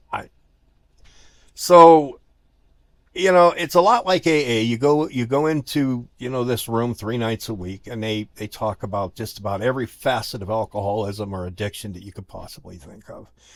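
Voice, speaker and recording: On a very clean recording with a silent background, a man speaks in a normal speaking voice at a medium pitch and a moderate pace, with lively intonation and big swings in loudness. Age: 60s. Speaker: recovering alcoholic, former rock DJ. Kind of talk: AA speaker meeting share. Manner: casual, conversational.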